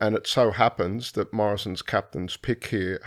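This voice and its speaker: In an Australian accent, a man speaks at a moderate pace, the sound dry and close with no echo and the recording very clean over a silent background. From Brisbane, Australia. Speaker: political scientist. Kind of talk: panel discussion.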